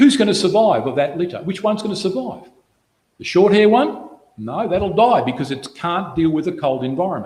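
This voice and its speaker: A man talks at a moderate pace with a high pitch and very wide pitch swings. Room echo is audible. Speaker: Bible study speaker. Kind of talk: Bible study talk.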